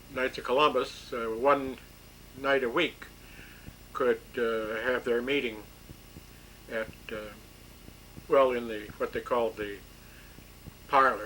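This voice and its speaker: A man talks at a fairly slow pace with long, frequent pauses. His pitch is medium and his intonation fairly even. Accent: Michigan. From Bay City, Michigan. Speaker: World War II era draftee. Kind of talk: oral history interview answer.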